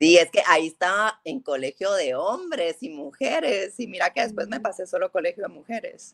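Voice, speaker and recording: At a moderate pace and with hardly any pauses, a woman talks at medium pitch with very wide pitch swings, the sound dry and close with no echo. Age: 30s. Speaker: guest, childhood friend of host. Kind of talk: casual chat, faith testimony. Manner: halting with many repetitions.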